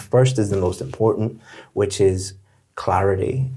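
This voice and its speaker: In a dark, mellow tone that is somewhat breathy, a man talks at a moderate pace with a fairly low pitch and ordinary pitch variation. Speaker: IELTS teacher. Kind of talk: spoken feedback on mock test.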